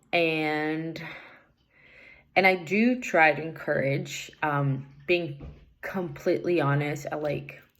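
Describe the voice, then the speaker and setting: Very slowly, a woman speaks in a very deep, low pitch with ordinary variation, and room echo is audible. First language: Portuguese. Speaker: English learner. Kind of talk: recorded assignment answers. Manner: hesitant, many fillers.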